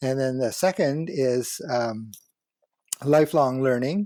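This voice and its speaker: A man speaks at a medium pitch with a dark, mellow tone. His pace is fairly slow. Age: 70s. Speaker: professor and entrepreneur. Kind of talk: interview conversation. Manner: fluent, talkative.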